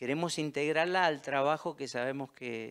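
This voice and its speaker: A man talks fairly slowly in quiet surroundings. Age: 60s. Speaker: local council candidate; council candidate. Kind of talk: candidate statement interview. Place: studio. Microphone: handheld.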